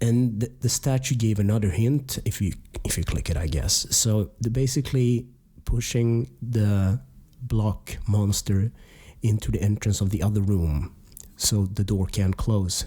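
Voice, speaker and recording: A man's fairly low, somewhat breathy voice with a dark, mellow tone, very even loudness, ordinary pitch variation and a fairly slow pace. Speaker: game review podcaster. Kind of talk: casual podcast talk.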